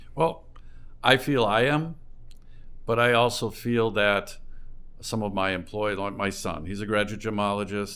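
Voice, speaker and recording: Pausing long and often, a man with a fairly low pitch speaks in a bright, sharp tone. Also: ordinary pitch variation, moderate pace. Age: 60s. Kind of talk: interview.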